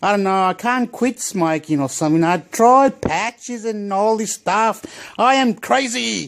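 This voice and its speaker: On a very clean recording with a silent background, a man sounds animated, his high voice carrying lively intonation. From Chile. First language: Spanish. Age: 40s. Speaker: vlogger. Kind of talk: casual monologue vlog. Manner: rambling, animated.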